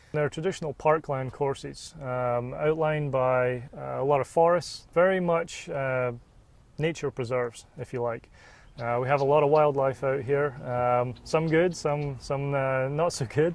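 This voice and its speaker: A man with an American accent speaks at a fairly slow pace and a fairly high pitch. His intonation is fairly even, and the background is quiet. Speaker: golf resort sales manager. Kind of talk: interview. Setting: outdoors on a golf course.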